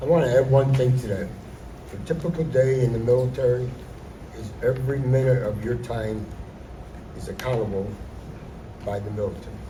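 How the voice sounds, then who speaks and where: A man speaks at a fairly quick pace with medium pitch, ordinary pitch variation, big swings in loudness and long, frequent pauses. Noticeable background noise and audible room echo fill the recording. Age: 70s. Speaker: Army veteran. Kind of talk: school assembly Q&A. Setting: school assembly with students.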